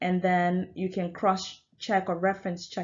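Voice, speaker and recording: A woman is speaking. Her pitch is fairly low. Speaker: university lecturer. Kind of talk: recorded lecture. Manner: hesitant, many fillers.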